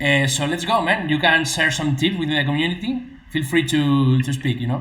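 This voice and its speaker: Speaking with a Spanish accent in a fairly high pitch, a man is heard amid noticeable background noise and audible room echo. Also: ordinary pitch variation, moderate pace. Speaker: e-commerce YouTuber and interviewer. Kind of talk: live-streamed interview with translation. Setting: live stream video call. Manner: hesitant, halting English. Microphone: double sound echo on stream.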